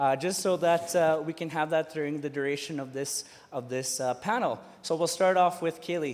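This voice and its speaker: At a moderate pace, a man with a fairly high pitch speaks in an ordinary speaking voice with ordinary pitch variation. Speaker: student union president, panel moderator. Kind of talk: panel moderation. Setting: conference stage with audience.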